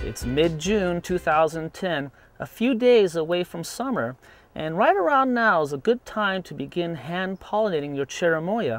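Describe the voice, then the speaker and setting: A man speaks at a high pitch and a fairly slow pace. The sound is dry with no echo, with faint music in the background. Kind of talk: tutorial. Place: garden.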